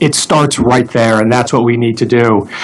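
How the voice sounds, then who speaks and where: There is noticeable background noise as a man with an American accent talks with fairly even intonation. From Florida, Palm Beach County. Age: 40s. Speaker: congressional candidate. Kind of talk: political debate.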